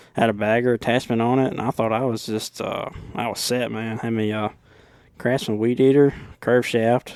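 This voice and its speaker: With a strong Southern US accent, a man speaks at a moderate pace. His intonation is monotone and flat. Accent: deep Southern. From Alabama. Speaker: lawn care business owner. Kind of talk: podcast interview. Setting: hotel room.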